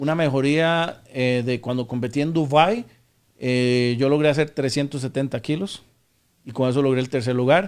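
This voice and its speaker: A plain, everyday voice from a man, medium in pitch, fairly even in intonation and fairly slow in pace. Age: 40s. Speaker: powerlifting athlete. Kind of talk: interview. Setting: studio.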